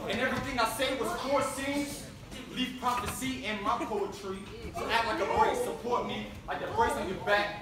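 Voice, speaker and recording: Moderate-paced speech from a man amid noticeable background noise and audible room echo. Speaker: spoken word poet. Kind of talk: spoken word poetry performance. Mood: pointed, socially charged. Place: stage. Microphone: camera far.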